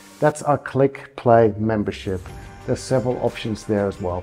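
Faint music sits behind a man whose pitch varies in an ordinary way. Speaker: kettlebell fitness coach. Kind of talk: promotional explanation to camera. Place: home room.

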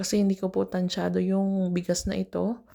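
Captured on a very clean recording with a silent background, a woman speaks at a fairly quick pace. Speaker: domestic worker vlogger. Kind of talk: cooking vlog. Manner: casual, chatty.

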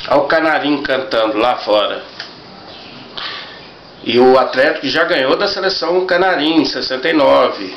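A man's voice comes through light background noise and audible room echo. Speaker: football fan collector. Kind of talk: casual talk to camera. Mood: enthusiastic, nostalgic. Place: home room. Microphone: webcam.

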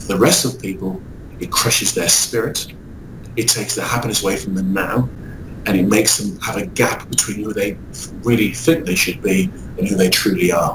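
Against noticeable background noise, a man talks at a fairly quick pace with long, frequent pauses, a fairly low pitch and ordinary pitch variation. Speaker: motivational speaker and author. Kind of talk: interview. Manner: upbeat, enthusiastic.

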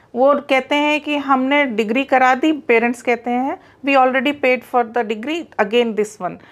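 With an Allahabad accent, a woman talks at a moderate pace in a high voice, with fairly even intonation and hardly any pauses. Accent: Allahabadi Hindi. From India, Allahabad (Uttar Pradesh); Uttar Pradesh, India. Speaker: entrepreneur, skills training company founder; interviewee. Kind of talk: interview. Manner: frequent Hindi-English code-switching. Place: home room. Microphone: lapel.

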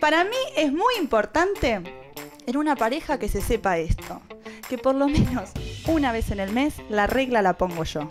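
A high-pitched woman's voice with an Argentine accent, very wide pitch swings and a fairly slow pace, clear music in the background. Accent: Argentine Rioplatense. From Buenos Aires, Argentina. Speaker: stand-up comedian. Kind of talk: stand-up comedy monologue. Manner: lively, punchy comic delivery. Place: stage. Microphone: handheld.

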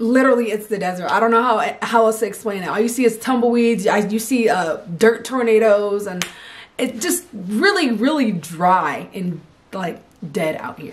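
The speaker has an American accent and an animated tone. The pace is moderate and the intonation lively. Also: woman, fairly high pitch for a woman. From California. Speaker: army soldier and vlogger; vlogger. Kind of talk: casual vlog. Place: home room. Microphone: camera far.

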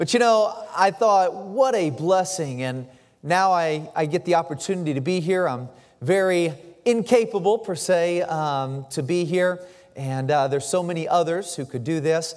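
A man with a high voice speaks at a moderate pace with ordinary pitch variation against a quiet background. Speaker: visiting missionary preacher. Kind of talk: sermon. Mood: humble, warm. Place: church. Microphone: podium.

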